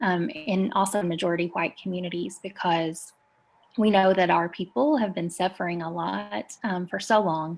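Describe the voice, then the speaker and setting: With an Appalachian accent, a woman speaks at a fairly low pitch with lively intonation. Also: moderate pace. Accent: Appalachian Southern US. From US South, rural Eastern Kentucky. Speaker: community organizer. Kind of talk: interview.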